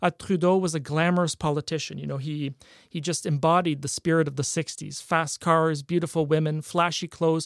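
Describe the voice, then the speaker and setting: In a very clean recording with a silent background and a dry, close sound with no echo, a man speaks at a fairly high pitch. His pace is fairly quick and his intonation monotone and flat. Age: young. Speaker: historian and author. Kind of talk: interview. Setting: radio studio.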